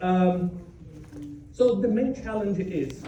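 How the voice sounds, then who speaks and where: A very slow voice with a Brazilian Portuguese accent, audible room echo and noticeable background noise. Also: man. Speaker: software developer, conference speaker. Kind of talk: conference talk.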